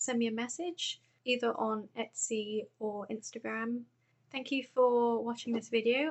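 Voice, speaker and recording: A woman with a British accent speaks at a moderate pace in a fairly high, monotone voice with flat intonation. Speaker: crochet vlogger. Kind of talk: casual vlog tutorial. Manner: soft-spoken; hesitant, with frequent fillers. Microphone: phone microphone.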